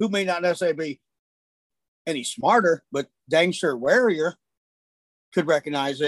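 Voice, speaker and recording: The sound is dry and close, with no echo. A man with an American accent speaks at a moderate pace. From US Midwest, Illinois. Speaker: hunting guide and call maker. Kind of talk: casual interview. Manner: hesitant, many fillers.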